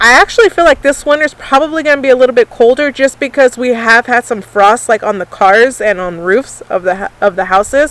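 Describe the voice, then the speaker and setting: Against noticeable background noise, a woman speaks in a high voice with lively intonation, in a dry, close sound with no echo. She keeps a fairly quick pace with hardly any pauses. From California, Temecula. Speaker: YouTuber. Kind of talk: casual chat.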